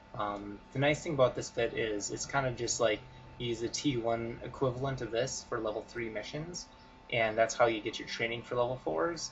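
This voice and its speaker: A man speaks at medium pitch with ordinary pitch variation and a moderate pace. Noticeable background noise is audible throughout. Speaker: gaming video creator. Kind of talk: gameplay tutorial commentary. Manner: mumbling; halting, many fillers.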